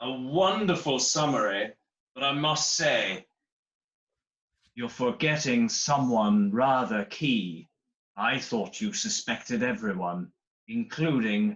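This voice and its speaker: A put-on character voice at a low-to-middle pitch moves along at a fairly slow pace. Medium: stage play. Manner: arch, formal.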